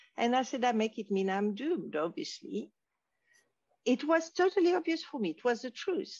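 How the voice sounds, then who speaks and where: A woman speaks at a moderate pace in a French accent. Her high voice swings very widely in pitch. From Morocco (French family, raised in Casablanca). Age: 60s. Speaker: wisdom teacher. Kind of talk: interview.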